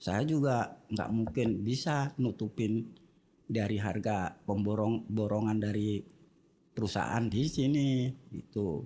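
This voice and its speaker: Very slow and very even in loudness, a man speaks at a fairly low pitch in a dark, mellow tone with ordinary pitch variation. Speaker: construction foreman. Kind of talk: casual interview. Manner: blunt, unpolished speech.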